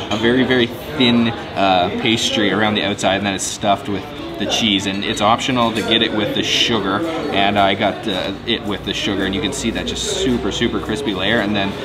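A man talks at a fairly quick pace. Loud music plays in the background. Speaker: food vlogger. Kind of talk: casual vlog chat. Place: cafe.

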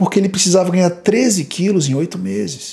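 With a dark, mellow tone, a man speaks at a moderate pace and a high pitch, using ordinary pitch variation. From Brazil. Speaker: fitness youtuber. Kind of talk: video commentary. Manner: animated. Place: home room. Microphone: studio mic.

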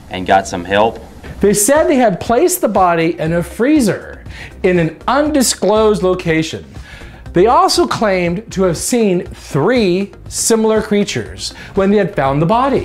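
Faint music sits in the background. A man speaks at a fairly slow pace. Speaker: show host. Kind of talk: comedic commentary narration.

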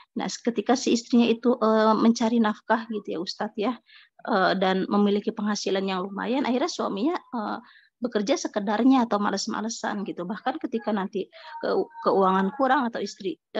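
A woman has an ordinary speaking voice, pitched fairly high. She talks at a fairly quick pace with ordinary pitch variation. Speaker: participant asking question. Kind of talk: question to a teacher. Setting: online video call.

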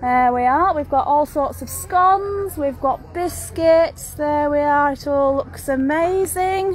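Faint music plays behind a woman's high-pitched voice, which sounds dry with no echo. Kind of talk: casual walkthrough commentary. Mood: upbeat, promotional. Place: market. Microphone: phone near.

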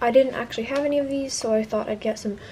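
Light background noise sits behind a woman whose intonation is fairly even. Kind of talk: casual haul vlog. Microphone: phone near.

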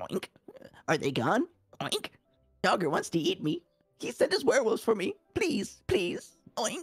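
A man speaks in a shaky, put-on character voice pitched extremely high for a man. Long pauses come often, with faint music in the background. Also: moderate pace. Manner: trembling, frightened.

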